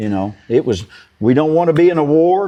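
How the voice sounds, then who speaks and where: The speaker has a Kentucky accent and talks at a moderate pace. The pitch swings very widely. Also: man. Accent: Kentucky rural Southern US. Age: 60s. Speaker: farmer. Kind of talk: interview.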